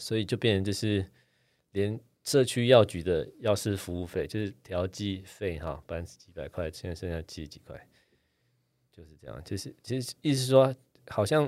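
A man's fairly low voice, a plain, everyday voice with lively intonation and big swings in loudness, on a very clean recording with a silent background. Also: moderate pace. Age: 40s. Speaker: doctor and podcast host. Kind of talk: casual chat.

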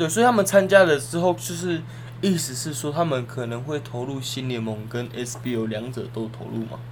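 Noticeable background noise and audible room echo surround a man speaking at a moderate pace and medium pitch. His pitch varies in an ordinary way, while his loudness swings widely. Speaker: sports podcast co-host. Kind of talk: casual chat.

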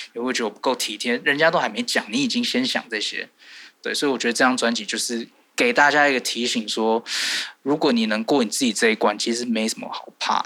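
This man has a bright, sharp tone, a medium pitch, fairly even intonation, and a fairly quick pace. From Taiwan, Taipei. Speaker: singer-songwriter and producer. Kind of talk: interview.

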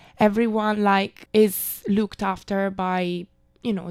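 A woman is speaking. She has an Italian accent. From Italy, Milan. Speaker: backpacker. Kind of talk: interview.

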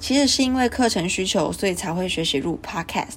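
A woman's medium-pitched voice carries vocal fry and lively intonation. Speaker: student podcaster. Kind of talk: casual monologue.

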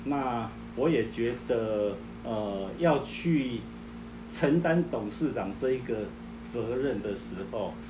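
Speaking at a very slow pace with long, frequent pauses, a man is heard with audible room echo. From southern Taiwan. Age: 60s. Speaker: retired company chairman. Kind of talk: testimony.

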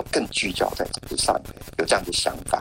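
A man speaks moderately fast over noticeable background noise. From Taiwan, Hualien. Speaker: academic researcher and author. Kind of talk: interview.

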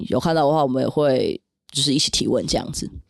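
This very clean recording has a silent background. The voice belongs to a woman. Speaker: podcast host and esports team staff. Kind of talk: casual chat.

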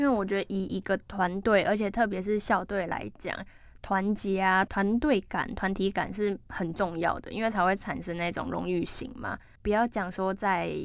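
A woman in an ordinary speaking voice, medium-pitched with fairly even intonation, on a very clean recording with a silent background. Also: moderate pace. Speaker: campus radio sports show host. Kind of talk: casual interview chat.

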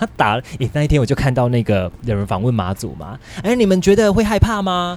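Moving at a fairly quick pace, a man talks with very wide pitch swings. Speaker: real estate podcast host. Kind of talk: casual chat.

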